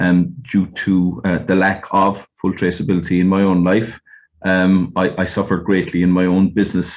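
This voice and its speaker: Very deep and low, a man's voice carries a West Cork accent. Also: quiet background. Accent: West Cork Irish. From Ireland, West Cork. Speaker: fishing industry representative. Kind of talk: webinar panel talk. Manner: hesitant, many fillers.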